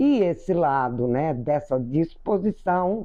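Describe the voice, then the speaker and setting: Very wide pitch swings in a woman's dark, mellow tone. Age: 70s. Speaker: spiritual teacher. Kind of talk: spiritual talk. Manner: conversational.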